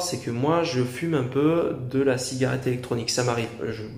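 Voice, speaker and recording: Noticeable background noise and audible room echo accompany a man's voice. He talks at a fairly quick pace with medium pitch and ordinary pitch variation. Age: 20s. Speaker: YouTuber. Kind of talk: opinion monologue to camera. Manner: halting, many fillers.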